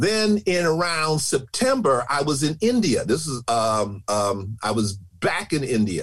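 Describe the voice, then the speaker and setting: A man with an American accent talks fairly slowly in a fairly high, somewhat breathy voice. His pitch swings very widely. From Chicago, US. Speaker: storyteller. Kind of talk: interview storytelling.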